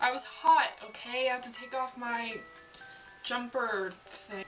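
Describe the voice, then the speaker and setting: With music behind her, a woman talks in a rather high voice. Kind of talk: casual talk to camera.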